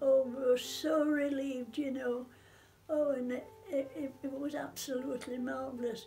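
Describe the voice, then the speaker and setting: Speaking in a Sheffield accent, a woman has a high pitch and fairly even intonation at a moderate pace. Faint music plays in the background. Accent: Yorkshire (Sheffield). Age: 80s+. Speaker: war survivor. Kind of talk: interview answer. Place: home room. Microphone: phone near.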